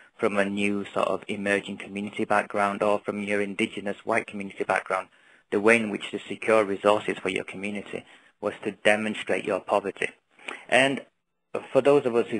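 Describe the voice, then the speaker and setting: A man in a northern English accent, fairly low-pitched, monotone and flat, at a fairly quick pace. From northern England, Oldham. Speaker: NGO founder. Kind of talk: webinar presentation. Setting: webinar. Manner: fast.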